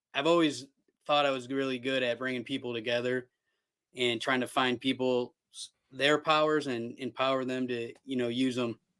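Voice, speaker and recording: In an American accent, a man speaks loud at a medium pitch, with a bright, sharp tone and monotone, flat intonation. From Cleveland, Ohio, US. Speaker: television producer. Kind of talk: casual chat.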